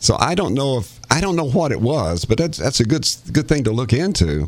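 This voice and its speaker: A man speaks at a moderate pace with very wide pitch swings. Noticeable background noise runs behind him. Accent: East Tennessee. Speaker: radio host and former county commissioner. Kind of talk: casual chat.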